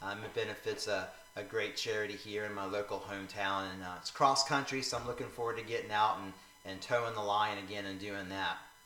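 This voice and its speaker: A man with an American accent talks at a fairly quick pace and a fairly low pitch, with fairly even intonation. Noticeable background noise and audible room echo fill the recording. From Northeast Florida. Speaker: vlogger. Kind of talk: casual vlog monologue. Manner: hesitant, many fillers.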